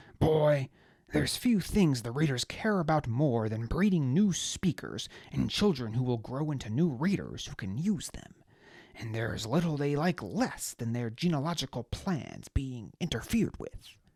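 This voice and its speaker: A man in a put-on character voice at a moderate pace, on a very clean recording with a silent background. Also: fairly high pitch for a man, lively intonation. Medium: read story. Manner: curt, impatient, unintimidated.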